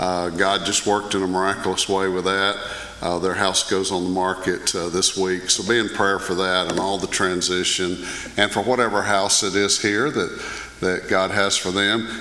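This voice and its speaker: Through noticeable background noise comes a man's very deep, low voice at a moderate pace. His intonation is monotone and flat, his loudness very even. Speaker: pastor. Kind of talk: prayer and church announcements. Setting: church.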